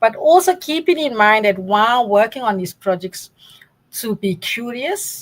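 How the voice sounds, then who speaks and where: A woman uses lively intonation while talking at a fairly slow pace. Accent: South African. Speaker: data science academic. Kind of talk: interview.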